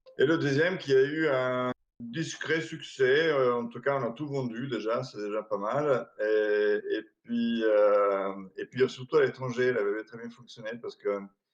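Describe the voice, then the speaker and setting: The speaker has an Italian accent and a fairly slow pace. Loudness swings widely from moment to moment. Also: man, medium pitch for a man, ordinary pitch variation. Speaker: board game distributor, company founder. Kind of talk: interview. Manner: hesitant, many fillers.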